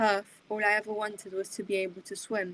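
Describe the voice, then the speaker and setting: At a moderate pace, a woman talks in a fairly high pitch. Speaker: poet. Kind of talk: poetry reading. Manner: expressive reading.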